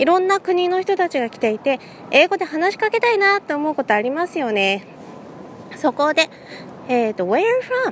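Background noise is noticeable in this clip. A woman talks, her pitch swinging very widely. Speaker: English conversation teacher. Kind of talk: casual solo talk. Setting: outdoors walking in a city.

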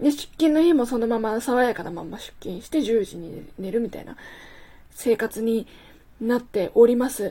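At a moderate pace, a woman with a fairly high pitch and a dark, mellow tone speaks with ordinary pitch variation and big swings in loudness. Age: 20s. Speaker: podcast host. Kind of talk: solo monologue. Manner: casual, chatty.

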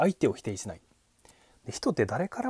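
A man talks at a very fast pace, his pitch swinging very widely. His tone is dark and mellow, with vocal fry. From Japan, Kochi Prefecture. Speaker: podcast host, former call center worker, musician. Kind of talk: solo monologue talk. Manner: many filler words.

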